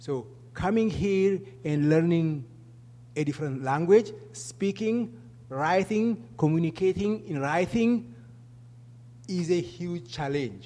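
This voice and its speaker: A man with an Ethiopian accent speaks very slowly in a dark, mellow voice of fairly high pitch, with very wide pitch swings and long, frequent pauses. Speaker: refugee program manager. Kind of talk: public talk. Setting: stage with audience.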